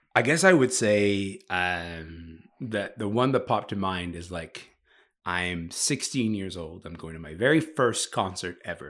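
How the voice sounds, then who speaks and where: A man with a Canadian accent speaks in a normal speaking voice, fairly low in pitch and fairly slow, with lively intonation and big swings in loudness, on a very clean recording with a silent background. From Sudan. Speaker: culture writer and podcast host. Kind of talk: casual chat.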